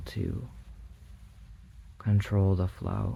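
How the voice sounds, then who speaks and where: A soft-spoken, calm tone, somewhat breathy, dark and mellow, with lively intonation. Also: man. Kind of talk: ASMR bedtime visualization, soft-spoken guided relaxation. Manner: soft-spoken, calm, slow.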